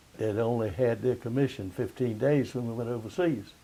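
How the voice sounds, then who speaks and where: A somewhat breathy man's voice of medium pitch with a dark, mellow tone. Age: 80s+. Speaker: World War II veteran, Seabee. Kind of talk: interview answer.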